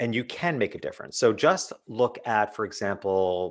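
A normal speaking voice with ordinary pitch variation keeps a moderate pace over a quiet background. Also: man. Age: 50s. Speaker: business author and speaker. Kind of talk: interview.

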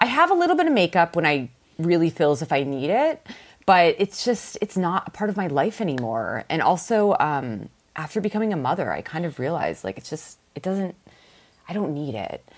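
A woman with a fairly low voice and vocal fry talks at a fairly quick pace with very wide pitch swings. The recording is very clean, with a silent background. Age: 30s. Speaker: vintage clothing seller. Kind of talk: casual chat.

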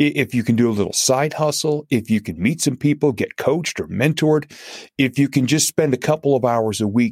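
In an ordinary speaking voice, a man talks at a fairly high pitch with lively intonation and a moderate pace. The sound is dry and close with no echo, on a very clean recording with a silent background. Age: 50s. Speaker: motivational speaker and comedian. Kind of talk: interview.

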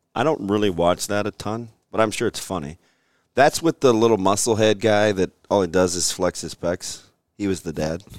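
With a dry, close sound with no echo, a man speaks at a moderate pace and ordinary pitch variation. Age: 40s. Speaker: sports podcast co-host, former college football player. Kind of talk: casual chat. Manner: animated.

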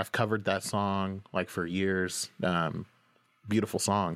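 A man with an American accent speaks at a moderate pace and fairly low pitch with fairly even intonation, on a very clean recording with a silent background. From Oklahoma. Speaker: singer-songwriter. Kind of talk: interview conversation. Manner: halting, many fillers.

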